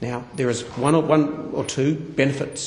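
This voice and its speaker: A man's fairly high voice with an Australian accent and ordinary pitch variation, amid audible room echo and noticeable background noise. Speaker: politician. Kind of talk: parliamentary speech. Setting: parliament chamber. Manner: formal.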